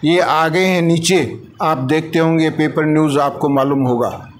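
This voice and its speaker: A fairly high-pitched man amid noticeable background noise and audible room echo. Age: 70s. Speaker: voter interviewed in street poll. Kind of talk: vox pop interview.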